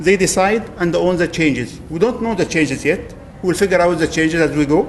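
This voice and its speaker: A man's high-pitched voice at a fairly quick pace with ordinary pitch variation, over noticeable background noise. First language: not English. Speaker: agile coach. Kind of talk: lightning talk presentation. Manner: hesitant, with fillers.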